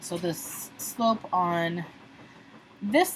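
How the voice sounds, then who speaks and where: A woman with a fairly low voice talks against noticeable background noise. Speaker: math teacher. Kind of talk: tutorial.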